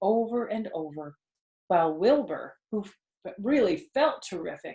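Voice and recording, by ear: A woman talks at a moderate pace. Her voice has a slightly husky edge.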